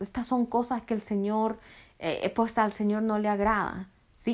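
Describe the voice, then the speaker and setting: On a very clean recording with a silent background, a woman speaks at a moderate pace in a normal speaking voice with fairly high pitch. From Honduras. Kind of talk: sermon.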